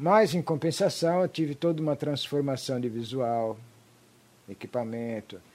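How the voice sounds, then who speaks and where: A man with a plain, everyday voice speaks at a fairly high pitch and a fairly slow pace, with lively intonation. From Brazil, raised from age five. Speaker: rock musician. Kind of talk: casual chat.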